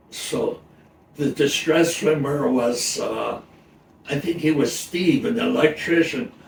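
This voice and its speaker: A man talks with lively intonation while noticeable noise sounds in the background. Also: fairly high pitch for a man, fairly slow pace. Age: 90s. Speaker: retired computer technician. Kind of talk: casual interview.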